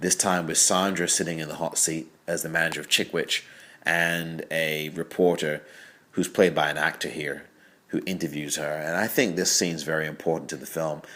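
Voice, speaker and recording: On a very clean recording with a silent background, a man with a slight English accent speaks at a moderate pace in a very deep, low pitch, his tone bright and sharp and his intonation monotone and flat. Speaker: film critic. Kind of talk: audio commentary. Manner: conversational, with fillers.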